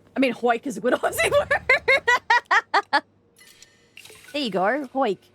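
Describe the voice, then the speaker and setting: A woman speaks in a raised, projected voice at a high pitch, very slowly, with long, frequent pauses and very wide pitch swings, in a dry, close sound with no echo and music in the background. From Australia. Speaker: gaming streamer. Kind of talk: live gameplay streaming chat.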